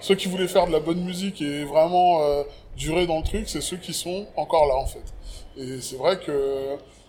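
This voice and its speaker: Noticeable background noise sits behind a man with a high-pitched voice. He keeps a moderate pace and fairly even intonation. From France, Paris banlieue (early childhood in Cameroon). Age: 40s. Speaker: rapper and writer. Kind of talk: casual interview conversation. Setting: outdoors.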